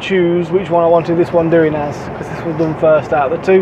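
A man is speaking. Noticeable background noise can be heard behind him. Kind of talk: casual vlog chat. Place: car.

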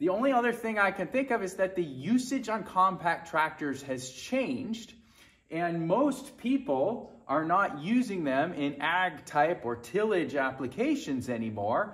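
Against a quiet background, a man talks at a fairly slow pace in a high voice. His pitch swings very widely. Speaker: tractor owner. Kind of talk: tutorial. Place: garage.

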